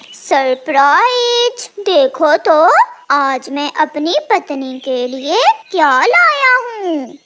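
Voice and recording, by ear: A cartoonish character voice, high-pitched and very slow.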